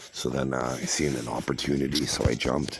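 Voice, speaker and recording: A man speaks with a Canadian accent in a very deep, low pitch. His intonation is monotone and flat, with noticeable background noise. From Canada, Toronto. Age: 40s. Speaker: poker streamer. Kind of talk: casual chat. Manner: halting, many fillers and restarts.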